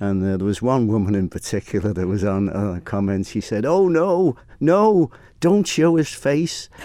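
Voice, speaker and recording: Over a quiet background, a man with a Manx accent speaks at a moderate pace in a dark, mellow tone, his fairly low pitch moving in very wide swings. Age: 70s. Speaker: motorcycle racing commentator. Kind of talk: interview. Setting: studio.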